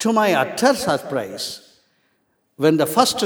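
The recording is very clean, and the background is silent. This man's voice has vocal fry and very wide pitch swings. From Trichy, Tamil Nadu, India. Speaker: retired security officer and lay preacher. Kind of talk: testimony.

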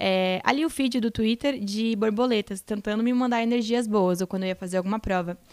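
A woman with a plain, everyday voice talks at a fairly high pitch and a fairly quick pace, her intonation fairly even. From southern Brazil (Rio Grande do Sul). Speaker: reality show contestant. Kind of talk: casual interview chat.

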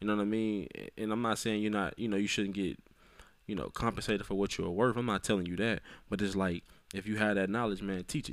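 Over a very clean recording with a silent background, a man talks at a very fast pace with a fairly low pitch and fairly even intonation. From Arkansas, Little Rock. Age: 20s. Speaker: entrepreneur and motivational speaker. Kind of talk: casual interview.

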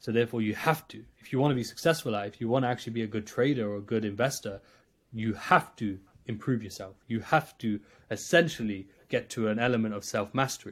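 A medium-pitched man with an East Midlands accent, a very fast pace, ordinary pitch variation and big swings in loudness, on a very clean recording with a silent background. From England, Nottingham. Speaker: trader and coach. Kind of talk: podcast interview.

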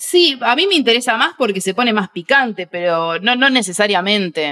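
In a Rioplatense accent, a woman speaks at medium pitch and a moderate pace. Her intonation is lively, and the sound is dry and close with no echo. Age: 30s. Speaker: comedian. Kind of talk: casual chat.

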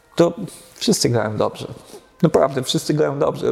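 The voice shows ordinary pitch variation. Noticeable background noise runs underneath. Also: man. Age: 50s. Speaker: jazz musician. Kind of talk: casual chat.

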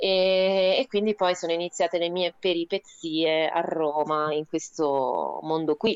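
Very slowly yet with hardly any pauses, a woman with a fairly low pitch speaks with fairly even intonation. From Rome, Italy. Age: 30s. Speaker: theatre artist and writer. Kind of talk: casual radio interview, storytelling. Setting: remote call for live web radio.

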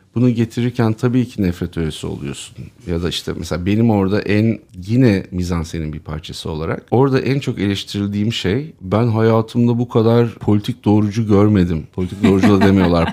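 Delivered at a fairly quick pace with hardly any pauses, the voice has a dark, mellow tone and ordinary pitch variation. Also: man, fairly low pitch for a man. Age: 50s. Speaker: co-founder of an online video channel. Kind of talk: casual chat.

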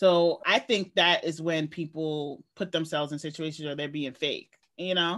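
Speaking with a New York accent, a woman talks at a moderate pace with hardly any pauses. Her pitch is very deep and low, and her intonation stays fairly even. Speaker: podcast co-host. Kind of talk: casual chat.

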